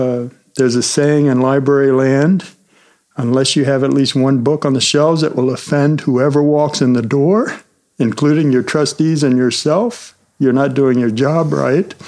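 At a moderate pace, a man talks in a plain, everyday voice, fairly high in pitch, with fairly even intonation and very even loudness. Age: 50s. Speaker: librarian and podcast co-host. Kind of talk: casual chat.

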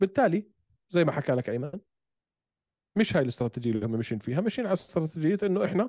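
Racing at a very fast pace, a man's high, dark, mellow voice swings very widely in pitch. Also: dry, close sound with no echo. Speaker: podcast co-host discussing MMA. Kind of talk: casual banter, debate. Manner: animated, joking.

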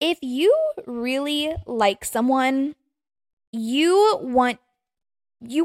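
An animated woman with an American accent, high pitch and lively intonation, in a dry, close sound with no echo. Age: 20s. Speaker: podcast host. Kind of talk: solo casual rant.

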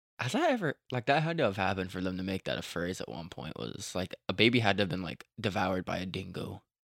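Playful and lively in intonation, a man with a very deep, low pitch and vocal fry talks at a very fast pace with hardly any pauses, the sound dry and close with no echo. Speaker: podcast host. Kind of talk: casual chat. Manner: joking, playful.

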